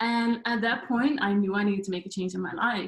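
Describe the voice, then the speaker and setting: A woman speaks with a somewhat breathy voice and ordinary pitch variation. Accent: Dutch. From Netherlands. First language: Dutch. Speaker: life coach. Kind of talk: talk to online audience.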